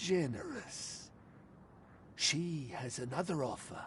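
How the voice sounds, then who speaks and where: A put-on character voice at a middle pitch and fairly slow pace, with clear background noise. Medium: video game. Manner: cryptic, speaks of her in third person.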